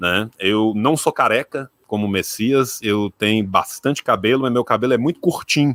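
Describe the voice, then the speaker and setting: A man with a strong rural Minas Gerais accent speaks at a moderate pace and a medium pitch, with ordinary pitch variation and hardly any pauses. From Minas Gerais, Brazil (rural). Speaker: historian and YouTuber. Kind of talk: casual chat.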